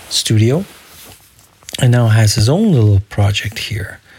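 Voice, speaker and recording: At a fairly slow pace, a man with a medium pitch talks over noticeable background noise. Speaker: solo podcaster. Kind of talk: casual solo audio diary. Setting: home recording without headphones. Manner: holding back on enunciation.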